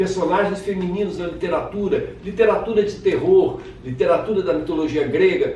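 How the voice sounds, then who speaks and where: Speaking with a Rio de Janeiro accent and lively intonation, a man goes at a moderate pace amid audible room echo and noticeable background noise. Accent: Carioca Brazilian Portuguese. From Brazil, Rio de Janeiro. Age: 60s. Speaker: children's author and literature teacher. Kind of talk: casual self-presentation to camera.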